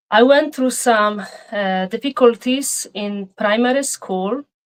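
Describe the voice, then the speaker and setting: A woman with a Polish accent speaks at a very slow pace, her pitch rising and falling in an ordinary way. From Poland. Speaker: painter. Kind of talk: interview.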